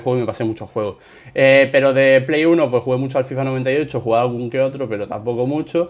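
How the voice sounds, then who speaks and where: Speaking very fast, a man keeps his intonation fairly even. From Spain. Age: 30s. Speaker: gaming youtuber. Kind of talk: Q&A video answering subscribers; casual Q&A vlog chat. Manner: spontaneous, unscripted; hesitant with many fillers.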